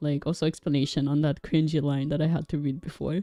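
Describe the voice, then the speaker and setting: Very fast and with a non-native accent, a woman speaks in a very deep, low pitch with a dark, mellow tone. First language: not English. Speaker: vtuber streamer. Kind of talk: casual livestream chat. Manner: halting.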